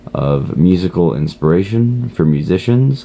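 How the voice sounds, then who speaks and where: A quiet man with lively intonation at a fairly slow pace, noticeable background noise behind him. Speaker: online course student. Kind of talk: self-introduction monologue. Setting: at a friend's house. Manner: quiet, low volume; hesitant, many fillers.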